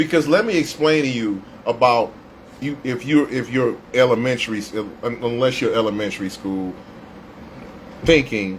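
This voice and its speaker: A man with an American accent talks at a moderate pace and medium pitch, with ordinary pitch variation. His long, frequent pauses sit over noticeable background noise. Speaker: radio host doing a solo livestream. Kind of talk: impromptu livestream rant. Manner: stuttering, repeating words; heated, emphatic.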